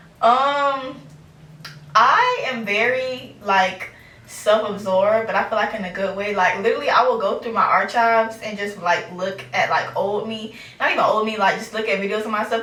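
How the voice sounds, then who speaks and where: A woman speaks at a moderate pace with ordinary pitch variation. Noticeable background noise and audible room echo surround her voice. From US South, Fort Pierce, Florida. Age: 20s. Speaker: podcast host. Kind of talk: casual interview. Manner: casual, filler-heavy.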